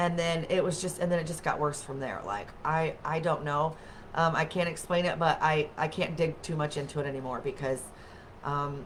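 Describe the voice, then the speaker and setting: This woman's very deep, low pitch carries through at a moderate pace. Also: fairly even intonation. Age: 40s. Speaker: wellness livestream host. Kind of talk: casual chat. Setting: webcam livestream.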